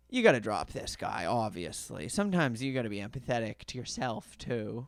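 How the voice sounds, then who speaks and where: A man at medium pitch and moderate pace, with vocal fry. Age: 20s. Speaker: stand-up comedian, podcast host. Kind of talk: casual comedic podcast chat. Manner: casual, hesitant with filler words.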